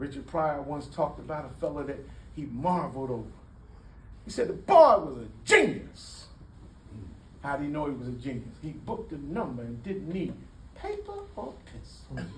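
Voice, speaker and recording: A man speaks at a moderate pace, leaving long, frequent pauses. His loudness swings widely, and the room echo is audible. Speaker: community speaker. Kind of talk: public talk. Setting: room with audience. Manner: animated.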